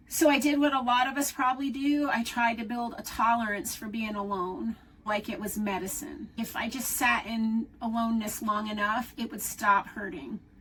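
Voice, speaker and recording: Moderate pace with hardly any pauses, plus noticeable background noise. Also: woman, fairly high pitch for a woman, ordinary pitch variation. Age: 60s. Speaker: solo-living video creator. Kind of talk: personal vlog talk. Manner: reflective, conversational.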